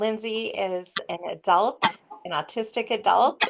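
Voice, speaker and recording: A woman uses a normal speaking voice at a fairly slow pace with ordinary pitch variation. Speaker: podcast host. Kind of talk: interview questions.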